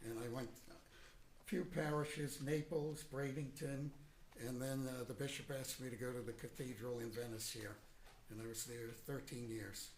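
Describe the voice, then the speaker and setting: An American accent, somewhat breathy, with audible room echo. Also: man, medium pitch for a man, ordinary pitch variation, moderate pace. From Boston, Massachusetts. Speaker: retired priest, witness. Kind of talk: courtroom testimony. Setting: courtroom.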